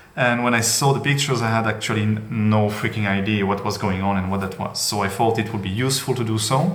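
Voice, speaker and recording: Over noticeable background noise and audible room echo, a man with a non-native accent and a medium pitch talks at a fairly quick pace with fairly even intonation. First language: not English. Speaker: trading card collector, channel owner. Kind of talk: casual monologue video. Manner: hesitant, many fillers.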